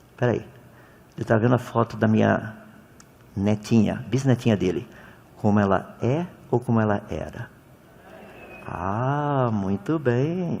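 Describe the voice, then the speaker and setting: Pausing long and often, a man speaks at a fairly slow pace and medium pitch with ordinary pitch variation over noticeable background noise. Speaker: creationist lecturer. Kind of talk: lecture. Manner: animated.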